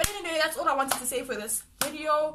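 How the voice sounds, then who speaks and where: A woman's raised, projected voice at a fairly quick pace, with ordinary pitch variation and audible room echo. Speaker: vlogger. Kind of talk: casual vlog monologue. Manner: fast.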